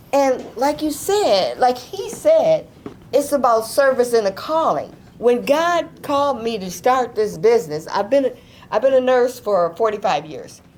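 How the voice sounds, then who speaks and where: A woman's high voice at a fairly slow pace, with very wide pitch swings and noticeable background noise. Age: 70s. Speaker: nurse and nursing school founder. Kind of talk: audience testimony. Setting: office event with live audience. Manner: casual, halting.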